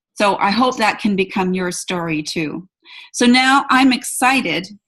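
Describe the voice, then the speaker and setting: A woman with an unremarkable speaking voice talks at a moderate pace with lively intonation. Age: 60s. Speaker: event host. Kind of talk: online presentation.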